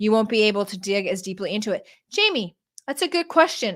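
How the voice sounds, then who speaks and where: A woman speaks in an animated tone at a medium pitch. The recording is very clean, with a silent background. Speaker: online business coach. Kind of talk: live-stream Q&A. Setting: live stream at a standing desk.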